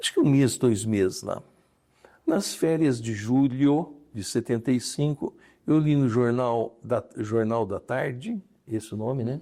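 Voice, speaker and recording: Speaking at a fairly slow pace, a man has a dark, mellow tone, a medium pitch and ordinary pitch variation. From interior of São Paulo state, Brazil. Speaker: retired judge. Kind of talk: interview.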